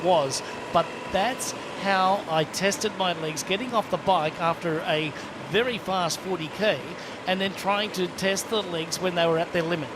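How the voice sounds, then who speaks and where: A man's high pitch with ordinary pitch variation at a moderate pace, against noticeable background noise. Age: 60s. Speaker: triathlon commentator, former pro. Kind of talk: live sports commentary chat.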